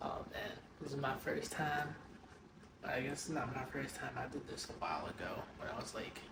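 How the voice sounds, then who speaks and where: A man speaks quietly at a moderate pace with a fairly high pitch, ordinary pitch variation, noticeable background noise and audible room echo. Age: 20s. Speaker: amateur bodybuilder vlogger. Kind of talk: casual vlog.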